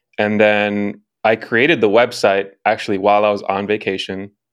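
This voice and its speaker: A man talks in a fairly low pitch with monotone, flat intonation. Music plays in the background. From Chicago. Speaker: commercial film director and executive producer. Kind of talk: casual interview chat.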